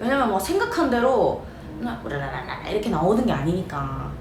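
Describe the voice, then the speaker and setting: A woman with a Gyeongsang accent swings her pitch very widely. The room echo is audible, and there is noticeable background noise. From South Korea, Ulsan (Gyeongsang). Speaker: eyelash perm salon owner and instructor. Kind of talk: casual vlog talk to camera. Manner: casual, with many fillers.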